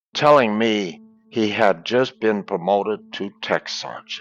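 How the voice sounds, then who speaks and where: Over music in the background, a man with an American accent and fairly low pitch speaks at a very slow pace with ordinary pitch variation. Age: 70s. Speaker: war veteran. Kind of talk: storytelling.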